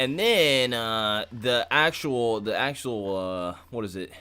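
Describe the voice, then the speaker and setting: Loud speech with ordinary pitch variation, on a very clean recording with a silent background. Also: man. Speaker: gaming streamer. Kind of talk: live stream explaining a game. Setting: at home streaming.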